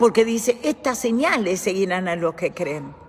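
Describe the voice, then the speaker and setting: Noticeable background noise runs under a woman who speaks at a fairly slow pace. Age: 70s. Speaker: church teacher. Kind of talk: bible study teaching. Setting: church.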